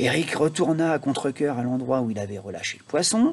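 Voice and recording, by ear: A man talks at a fairly quick pace, his pitch at a medium level. His intonation is lively, with a slightly husky edge.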